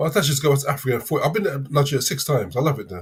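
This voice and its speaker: A man talks with a London accent at a very fast pace. Vocal fry runs through his voice. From London, England. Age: 50s. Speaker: livestream caller. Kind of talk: live Q&A discussion. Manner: halting.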